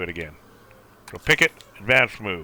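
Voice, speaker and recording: A man talks at a very fast pace with a bright, sharp tone and vocal fry, in a dry, close sound with no echo and a very clean recording with a silent background. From Canada. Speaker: game streamer. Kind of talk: tutorial. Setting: live stream. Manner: casual.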